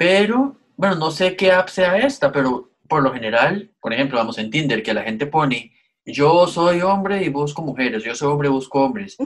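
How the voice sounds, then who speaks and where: A man speaks in a plain, everyday voice at a moderate pace with hardly any pauses. His pitch is fairly high and his intonation lively. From Costa Rica. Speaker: podcast co-host. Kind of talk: casual chat.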